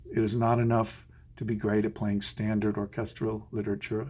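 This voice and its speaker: A man's dark, mellow, somewhat breathy voice at a fairly low pitch. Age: 60s. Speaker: orchestral musician. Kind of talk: advice monologue.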